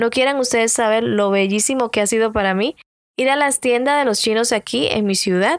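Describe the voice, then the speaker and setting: An unremarkable speaking voice from a woman, fairly high-pitched with ordinary pitch variation at a moderate pace, on a very clean, dry, close recording with a silent background and no echo. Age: 30s. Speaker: podcast host and beauty vlogger. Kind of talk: casual motivational monologue.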